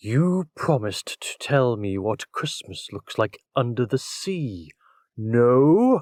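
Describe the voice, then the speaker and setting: A put-on character voice at a very slow pace, in a very clean recording with a silent background. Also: man, medium pitch for a man. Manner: demanding.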